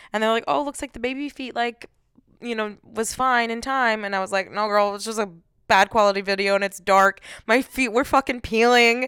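A woman's fairly high voice with a bright, sharp tone at a fairly quick pace, in a very clean recording with a silent background. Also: fairly even intonation. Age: 20s. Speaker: podcast co-host. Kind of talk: casual chat.

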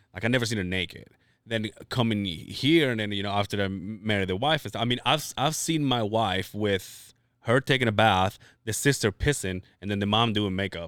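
Recorded very cleanly against a silent background, a man with an ordinary speaking voice talks at a moderate pace with fairly low pitch and ordinary pitch variation. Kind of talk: casual chat. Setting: studio.

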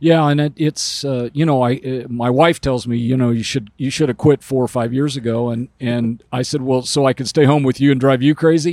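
Here a man uses a normal speaking voice, with medium pitch, fairly even intonation and a fairly quick pace. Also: hardly any pauses, dry, close sound with no echo. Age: 60s. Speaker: automotive industry consultant. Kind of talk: casual interview. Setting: recording on a bus.

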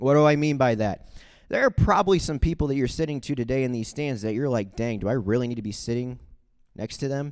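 Speaking very fast in a Midwestern American accent, a man keeps a medium pitch with ordinary pitch variation. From US Midwest, St. Charles, Missouri. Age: 20s. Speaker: youth speaker. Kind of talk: testimony. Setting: stage with audience. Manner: direct.

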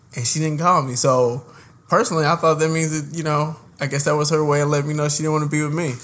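The words come very fast in an American accent. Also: man, fairly high pitch for a man, fairly even intonation. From Indianapolis, Indiana. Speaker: podcast co-host. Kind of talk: casual chat.

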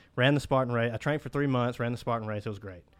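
Someone with a Mississippi accent speaks with ordinary pitch variation on a very clean recording with a silent background. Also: man. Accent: US Southern (Mississippi). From Mississippi Delta (Cleveland). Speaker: dental student. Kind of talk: casual interview.

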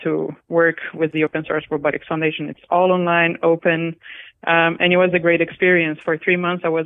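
In a Brazilian accent, a woman with a fairly low voice talks at a fairly quick pace with monotone, flat intonation. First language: Portuguese. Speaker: robotics software engineer. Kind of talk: interview, casual conversation.

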